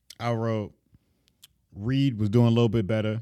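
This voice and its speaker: Here a man speaks at a fairly low pitch. His tone is dark and mellow. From Florida, US South. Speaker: rap battle podcast co-host. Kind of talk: casual chat.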